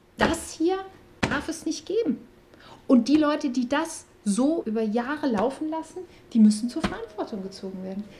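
Amid noticeable background noise, a woman speaks at a moderate pace, her high voice moving in very wide pitch swings. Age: 40s. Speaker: former health office employee, whistleblower. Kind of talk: interview.

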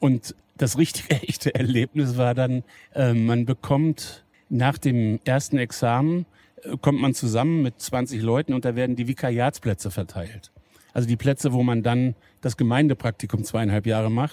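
In a very clean recording with a silent background and a dry, close sound with no echo, a man speaks at a medium pitch and moderate pace in a dark, mellow tone with fairly even intonation. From Lower Saxony, Wolfsburg. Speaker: pastor and football fan. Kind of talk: casual interview. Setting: empty football stadium.

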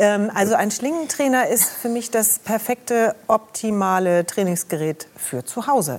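Hardly any pauses break the lively intonation and moderate pace, with noticeable background noise behind the speech. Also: woman, fairly high pitch for a woman. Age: 60s. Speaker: medical journalist and TV presenter. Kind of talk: talk show interview.

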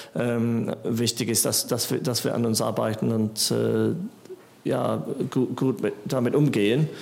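With an English accent, a man speaks at a very slow pace in a medium pitch and very even loudness. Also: ordinary pitch variation. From England. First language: English (speaking German). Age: 40s. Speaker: musician. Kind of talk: casual chat. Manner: halting, many fillers.

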